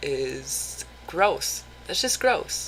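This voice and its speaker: A woman is heard talking with noticeable background noise in the recording. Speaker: vlogger. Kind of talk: casual vlog monologue. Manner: animated.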